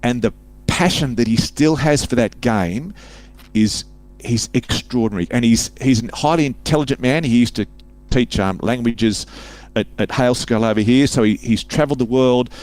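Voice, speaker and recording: On a very clean recording with a silent background, a man with an Australian accent and medium pitch speaks at a moderate pace, with ordinary pitch variation and very even loudness. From Sydney, Australia. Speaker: author and public speaker. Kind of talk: casual interview chat.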